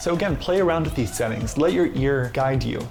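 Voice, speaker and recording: Over background music, a man speaks at a very fast pace in an upbeat tone with ordinary pitch variation and audible room echo. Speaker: video editing tutor. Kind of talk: tutorial. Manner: upbeat, casual.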